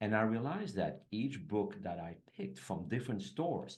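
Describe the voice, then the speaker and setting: A man with a French accent at a fairly low pitch, moderate in pace, lively in intonation, with audible room echo. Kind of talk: casual chat.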